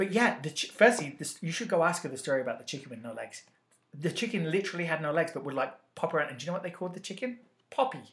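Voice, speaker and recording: A man talks at a very fast pace. His high voice has lively intonation. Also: big swings in loudness. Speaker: podcast host. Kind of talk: casual banter podcast chat. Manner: bantering, teasing.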